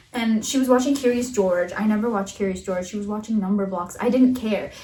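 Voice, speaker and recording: Talking at a very fast pace, a woman with a fairly high pitch and fairly even intonation is heard amid noticeable background noise and audible room echo. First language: Russian. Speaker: podcast co-host. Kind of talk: casual chat.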